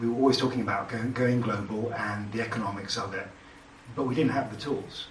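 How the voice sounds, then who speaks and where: Against noticeable background noise and audible room echo, a man with a British accent talks at a fairly quick pace, medium pitch and fairly even intonation. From Britain. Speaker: technologist, panelist. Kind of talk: panel discussion. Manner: hesitant, many fillers.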